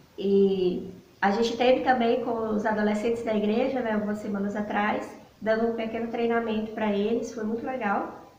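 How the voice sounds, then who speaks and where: A woman's fairly high voice at a moderate pace with monotone, flat intonation, with audible room echo and noticeable background noise. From Bahia, Brazil. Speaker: missionary. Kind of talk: talk to church congregation.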